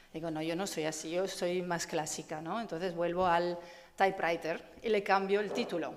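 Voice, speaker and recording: With an Italian accent, a woman speaks at a moderate pace and a fairly low pitch. Audible room echo surrounds her voice. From Italy. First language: Italian (speaking Spanish). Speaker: photography curator. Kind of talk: conference talk. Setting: stage with audience. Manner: halting.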